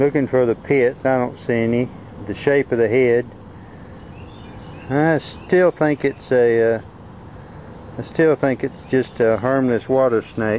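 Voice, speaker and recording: With a Southern US accent, a man speaks at a fairly slow pace with long, frequent pauses and fairly even intonation. The sound is dry with no echo, over light background noise. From Arkansas. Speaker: amateur naturalist. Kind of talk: casual narration over home video. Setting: outdoors. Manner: halting, casual. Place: garden. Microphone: phone near.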